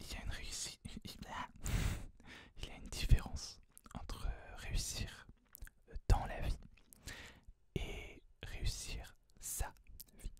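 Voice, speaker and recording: A man's relaxed whispering at a very slow pace, with big swings in loudness and long, frequent pauses. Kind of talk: ASMR whispered book tag talk to camera. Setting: close microphone, home recording. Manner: whispered, soft-spoken, relaxed.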